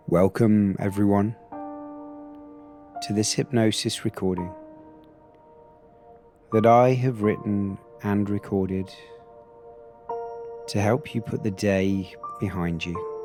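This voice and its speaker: Music plays in the background as a man with a fairly low pitch speaks at a very slow pace, with fairly even intonation and long, frequent pauses. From Britain. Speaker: hypnotherapist. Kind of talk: sleep hypnosis. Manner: slow, soft-spoken.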